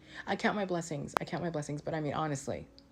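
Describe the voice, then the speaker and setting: Speaking very fast with an American accent, a woman has a very deep, low pitch and vocal fry. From Los Angeles, US West Coast. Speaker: commentator reacting to clips. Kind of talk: casual reaction commentary. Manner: animated.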